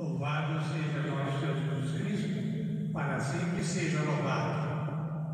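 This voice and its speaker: A man's very slow, monotone, flat speech in strong room echo, with light background noise. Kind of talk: formal greeting message. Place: church.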